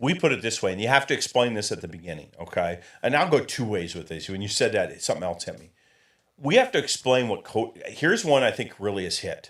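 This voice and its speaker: In an American accent, the speaker talks very fast in an animated tone on a very clean recording with a silent background. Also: man, big swings in loudness. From Michigan, US Midwest. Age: 60s. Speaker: coaching consultant. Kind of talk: interview.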